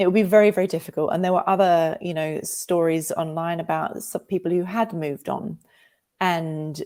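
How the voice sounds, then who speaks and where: Speaking at a moderate pace with a slight Australian accent, a woman has a fairly low pitch and a dark, mellow tone on a very clean recording with a silent background. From Australia, England and America. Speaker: novelist. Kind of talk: interview. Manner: animated, emotional.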